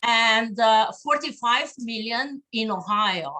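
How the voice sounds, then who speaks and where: A woman's high, bright and sharp voice in a Slavic accent. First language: Slovenian. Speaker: diplomat. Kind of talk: conference speech. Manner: halting, many fillers.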